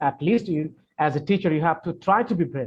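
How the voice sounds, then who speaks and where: A somewhat breathy man with a Bengali accent speaks at a fairly quick pace with lively intonation. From Bangladesh. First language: Bangla. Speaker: English teacher. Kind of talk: Q&A session. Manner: hesitant, many fillers and repetitions.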